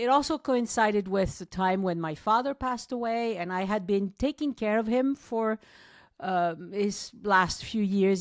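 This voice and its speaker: In a very clean recording with a silent background, a woman with a slight French accent speaks at medium pitch and a moderate pace. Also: dry, close sound with no echo. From southwest France, Toulouse. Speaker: travel podcaster and tour guide. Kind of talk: podcast interview. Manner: hesitant, many fillers.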